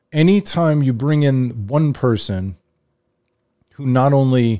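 Here is a man with an American accent and a medium pitch. His intonation is lively, and the recording is very clean with a silent background. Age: 40s. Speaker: sports podcast host. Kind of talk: solo commentary monologue. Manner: conversational with frequent hesitations.

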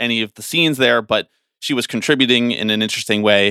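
This man's pitch sits in the medium range. He speaks at a very fast pace. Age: 20s. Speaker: podcast producer. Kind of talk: casual chat.

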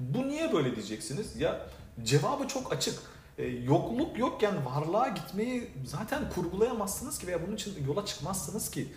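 Room echo and noticeable background noise can be heard. A man talks at a moderate pace in a high voice with very wide pitch swings. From Turkey, Adana. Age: 40s. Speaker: direct sales leader. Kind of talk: motivational talk.

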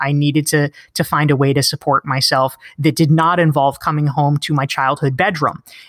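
A woman with a very deep, low pitch speaks in an American accent in a very clean recording with a silent background. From North Carolina, US South. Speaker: author and marketing consultant. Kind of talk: casual interview chat.

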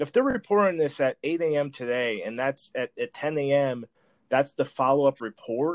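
A man's ordinary speaking voice at a fairly high pitch, dry and close with no echo. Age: 30s. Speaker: sports podcast host. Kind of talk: casual chat.

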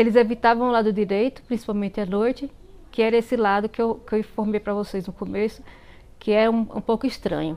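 Her voice is fairly high with a dark, mellow tone, and the woman talks very fast with fairly even intonation. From Bahia, Brazil (interior, semi-arid). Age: 40s. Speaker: listener sharing a story. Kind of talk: personal storytelling. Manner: halting, many fillers and repetitions.

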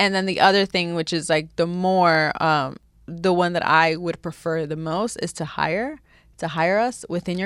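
Here is a normal speaking voice, a woman's, fairly low in pitch with an American accent. She talks at a moderate pace with ordinary pitch variation. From New York. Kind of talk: casual interview.

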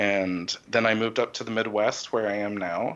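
A man with an American accent talks at a moderate pace. His voice is fairly low in pitch, with a bright, sharp tone. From Texas and Connecticut. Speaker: composer. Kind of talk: casual interview.

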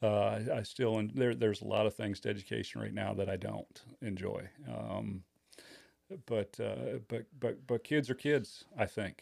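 Talking at a fairly slow pace, a man speaks with a Midwestern American accent. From Michigan, Kalamazoo area. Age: 50s. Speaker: high school football coach and teacher. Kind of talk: casual chat.

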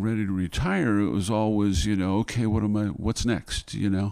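Dark and mellow in tone, a man's fairly low voice stays monotone and flat. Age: 70s. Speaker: singer-songwriter and Vietnam veteran. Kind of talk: interview. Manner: halting.

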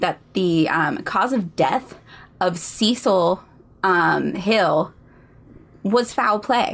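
A woman with an American accent speaks at a very slow pace. Her loudness stays very even. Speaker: podcast co-host. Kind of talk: casual chat and true crime storytelling.

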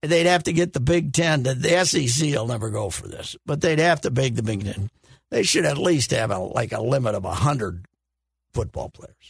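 The man's voice is somewhat breathy, with a medium pitch. He talks at a moderate pace with lively intonation. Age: 70s. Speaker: sports commentator. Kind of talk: casual chat.

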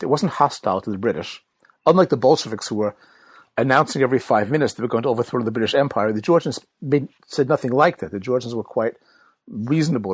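An American-accented man at medium pitch talks at a very fast pace with lively intonation. The sound is dry and close with no echo, and the background is quiet. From United States. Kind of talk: interview.

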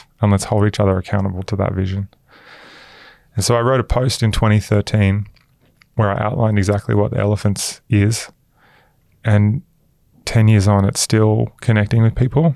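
In an Australian accent, a man with a fairly low pitch and a dark, mellow tone speaks at a moderate pace with fairly even intonation, very even loudness, and long, frequent pauses. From Queensland, Australia. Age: 30s. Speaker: venture capital investor. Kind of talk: interview conversation.

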